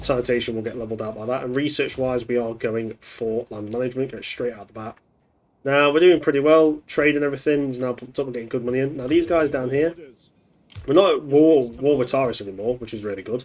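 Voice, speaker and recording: A man's medium-pitched voice at a very fast pace, with big swings in loudness and ordinary pitch variation. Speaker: gaming youtuber. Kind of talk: gameplay commentary.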